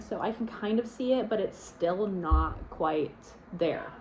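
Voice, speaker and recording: Noticeable noise sits behind a woman whose voice holds a medium pitch. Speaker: book vlogger. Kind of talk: casual vlog talk.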